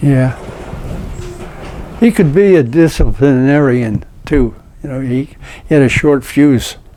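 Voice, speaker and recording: A man with a fairly high pitch talks at a fairly slow pace, with long, frequent pauses and ordinary pitch variation. Noticeable background noise is present. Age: 90s. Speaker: interviewee sharing life stories. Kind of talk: casual chat.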